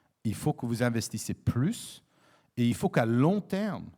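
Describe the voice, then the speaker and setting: In an English accent, a man speaks at a medium pitch and a fairly slow pace, his intonation lively and his tone dark and mellow. The recording is very clean, with a silent background. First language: English (speaking French). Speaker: diplomat. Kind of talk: panel discussion. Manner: halting, many fillers and repetitions.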